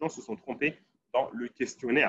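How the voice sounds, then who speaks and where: A man talks at a fairly quick pace. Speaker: Islamic jurisprudence teacher. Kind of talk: lecture. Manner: fast; halting. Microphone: laptop audio sometimes cuts out.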